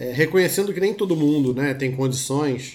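Fairly high male voice with ordinary pitch variation, a moderate pace and audible room echo. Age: 40s. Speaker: therapist. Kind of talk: casual chat.

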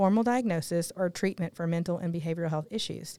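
On a very clean recording with a silent background, a woman with a Southern US accent talks at a fairly quick pace with lively intonation. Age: 40s. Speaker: podcast co-host. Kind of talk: casual interview; scripted disclaimer.

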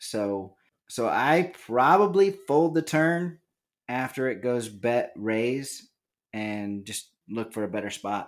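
A man's medium-pitched voice with very wide pitch swings at a very slow pace, on a very clean recording with a silent background. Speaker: poker podcast host. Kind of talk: casual chat. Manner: laughs often.

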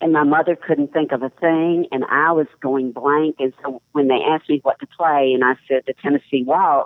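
A woman with a very deep, low voice speaks at a moderate pace with a Southern US accent. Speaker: columnist and writer. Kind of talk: interview with story reading.

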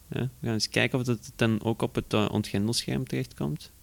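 A man speaks at a fairly quick pace with a medium pitch, fairly even intonation and vocal fry.

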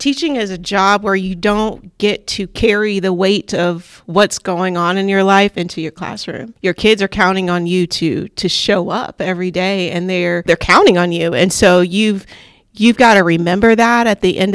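A woman talks at a fairly slow pace and medium pitch, with fairly even intonation, in an unremarkable speaking voice. The sound is dry and close with no echo, and the recording is very clean, with a silent background. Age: 30s. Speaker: teacher and assistant principal. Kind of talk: interview.

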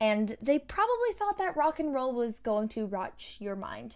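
A woman with a Canadian accent talks in a normal speaking voice at a fairly high pitch and a moderate pace. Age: 20s. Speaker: campus radio host. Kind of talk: radio commentary.

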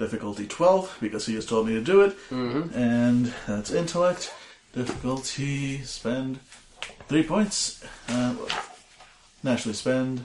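Over noticeable background noise, a man with a medium-pitched voice speaks at a fairly slow pace, leaving long, frequent pauses. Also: lively intonation. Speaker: tabletop game player.

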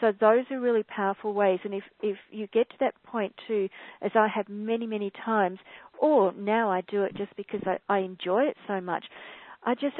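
The speaker has an Australian accent and a moderate pace. Intonation stays fairly even. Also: woman. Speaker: spiritual author. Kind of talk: webcast interview. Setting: call.

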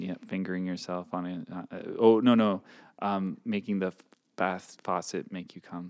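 With a very deep, low pitch, a man speaks at a moderate pace in a monotone, flat intonation. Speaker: podcast co-host. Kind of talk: casual banter, advice podcast. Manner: teasing, jokey.

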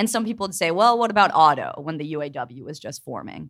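On a very clean recording with a silent background, a woman talks at a fairly quick pace with lively intonation in an ordinary speaking voice. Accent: American. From Pittsburgh, US. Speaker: labor journalist. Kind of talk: live panel discussion. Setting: stage with audience.

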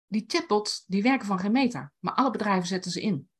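This woman has a medium pitch and a somewhat breathy sound, speaking at a moderate pace. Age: 60s. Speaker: writing teacher and blogger. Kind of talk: casual interview.

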